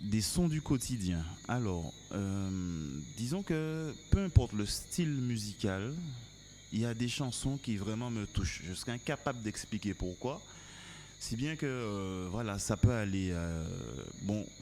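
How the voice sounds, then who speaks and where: Lively intonation marks a man's dark, mellow voice, pitched fairly low and delivered at a very slow pace. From Martinique. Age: 30s. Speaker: musician. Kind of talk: casual interview chat. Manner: hesitant, many fillers.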